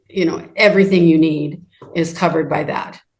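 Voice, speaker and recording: With an American accent, a woman talks at a moderate pace in a fairly low pitch, with audible room echo around her. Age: 70s. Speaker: retired expat in Spain. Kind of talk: panel discussion.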